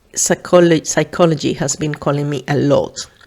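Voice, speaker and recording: A woman's monotone, flat delivery with a Spanish accent. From Venezuela. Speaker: podcast host, psychologist. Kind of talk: casual podcast monologue. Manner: hesitant, many fillers.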